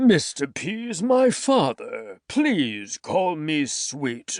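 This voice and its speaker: A man does a put-on character voice at a high pitch with very wide pitch swings, speaking at a very slow pace against a quiet background. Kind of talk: formal. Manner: mock-formal, playful.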